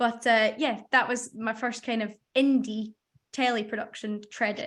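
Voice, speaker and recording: A woman speaks with a Scottish accent at a moderate pace. Her fairly high voice has monotone, flat intonation. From Scotland. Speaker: radio researcher, former apprentice. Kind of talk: casual interview.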